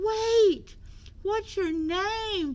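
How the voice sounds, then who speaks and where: A put-on character voice, squeaky and pitched extremely high. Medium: read story.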